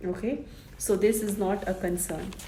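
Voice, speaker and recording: Speaking fairly slowly with a Keralan accent, a woman at medium pitch keeps her intonation fairly even amid audible room echo. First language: Malayalam. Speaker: vlogger. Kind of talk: informational vlog.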